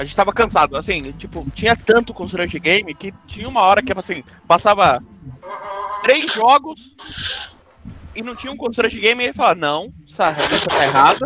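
In a raised, projected voice, a high-pitched man speaks with very wide pitch swings, big swings in loudness and long, frequent pauses, over noticeable background noise. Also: moderate pace. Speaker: podcast co-host. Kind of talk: casual chat.

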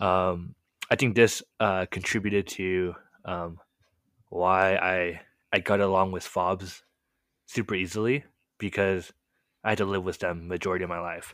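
The voice has a Californian accent and monotone, flat intonation. Long, frequent pauses break up the speech. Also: man, very deep, low pitch for a man, moderate pace. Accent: general American, Californian. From California, US. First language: Korean. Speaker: podcast co-host sharing his testimony. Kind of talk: casual conversational storytelling, testimony. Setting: late-night video call recording.

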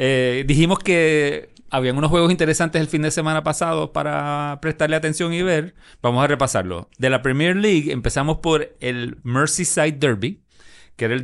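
A man with an unremarkable speaking voice talks at a moderate pace in a fairly high pitch with ordinary pitch variation against a quiet background. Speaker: sports podcast co-host. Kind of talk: casual chat.

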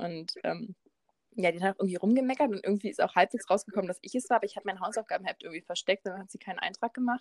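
A woman's medium-pitched voice at a very fast pace, with a dry, close sound and no echo. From Berlin. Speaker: podcast co-host. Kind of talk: casual chat.

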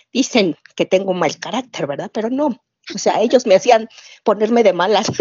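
A woman talks with a Mexico City accent. Her pitch is medium and her pace moderate. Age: 40s. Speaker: nurse, fan group admin. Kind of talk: casual interview chat.

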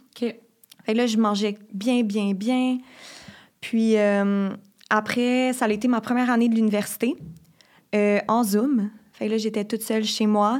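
A woman with a Quebec accent, fairly high in pitch, fairly slow, monotone and flat, with long, frequent pauses, very even loudness and a very clean recording with a silent background. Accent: Québécois French. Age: 20s. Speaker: university student. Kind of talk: personal testimony.

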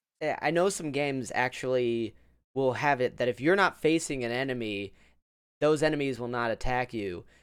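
In a very clean recording with a silent background, a man with an ordinary speaking voice and medium pitch talks at a moderate pace. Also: ordinary pitch variation. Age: 30s. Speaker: podcast host and streamer. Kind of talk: casual chat.

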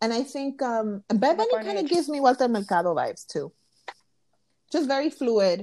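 A woman speaks at a fairly quick pace with a New York accent. Her dark, mellow tone carries very wide pitch swings. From Brooklyn, New York (Williamsburg), Dominican family. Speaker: podcast co-host, spiritual practitioner. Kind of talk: casual chat.

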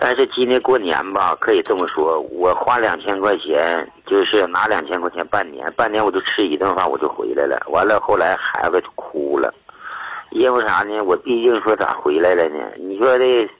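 Noticeable background noise sits behind this male speaker. His pace is moderate. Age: 50s. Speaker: caller seeking family advice. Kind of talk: call-in advice conversation. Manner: halting, repetitive.

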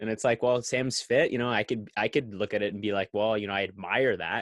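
At a very fast pace with hardly any pauses, a man of medium pitch speaks with ordinary pitch variation in a dry, close sound with no echo and a quiet background. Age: young. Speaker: podcast host. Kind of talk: interview. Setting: outdoors, intro recorded outside.

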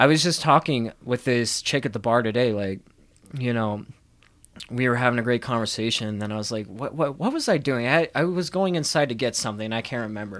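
Speaking at a fairly quick pace, a man uses a plain, everyday voice at a medium pitch with ordinary pitch variation. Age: 20s. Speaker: podcast host. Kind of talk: casual chat.

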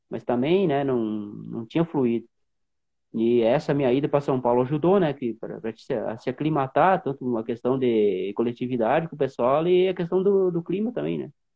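Lively intonation marks an ordinary speaking voice. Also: man, medium pitch for a man, moderate pace. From Rio Grande do Sul, Brazil (Centro-Serra region). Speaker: former marathon runner. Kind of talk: interview.

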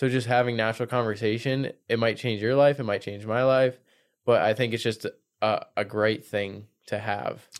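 In a very clean recording with a silent background, a man speaks at a medium pitch with monotone, flat intonation. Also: moderate pace. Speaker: podcast host. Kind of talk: casual interview chat.

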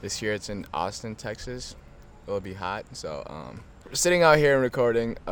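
A man's intonation is lively, and his pace stays moderate. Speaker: college student and athlete. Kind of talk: casual chat. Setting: outdoors, front yard.

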